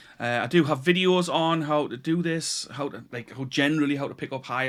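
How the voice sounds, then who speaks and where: On a very clean recording with a silent background, a man in a northeast English accent speaks at a moderate pace with fairly even intonation. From northeast England (Tyneside). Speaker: YouTuber, delivery driver and online retailer. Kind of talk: casual vlog talk to camera. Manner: hesitant, many repetitions.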